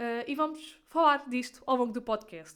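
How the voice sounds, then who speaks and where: A woman speaks in a European Portuguese accent. Her pitch is high, with ordinary pitch variation. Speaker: podcaster. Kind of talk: casual monologue. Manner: fast.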